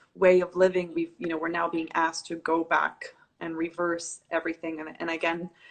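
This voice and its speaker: A woman's fairly low voice at a moderate pace. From Dubai. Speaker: yoga teacher. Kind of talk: casual chat.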